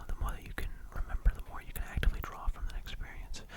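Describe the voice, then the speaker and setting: Someone whispers over noticeable background noise. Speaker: ASMR creator. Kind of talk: ASMR soft-spoken rambling to camera. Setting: studio microphone, ear to ear binaural recording. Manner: soft-spoken, whispering, relaxing.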